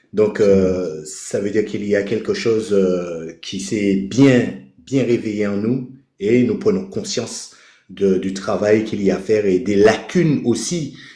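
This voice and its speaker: With audible room echo, a man speaks at a very slow pace in a fairly low pitch, his tone dark and mellow and his pitch variation ordinary. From Caribbean. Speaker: participant in online spiritual live. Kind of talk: casual chat. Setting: live video call with headset. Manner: hesitant, many fillers.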